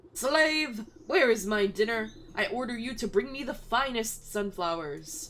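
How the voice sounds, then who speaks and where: A woman's shrill, put-on character voice, fairly high in pitch, with lively intonation at a moderate pace. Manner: demanding.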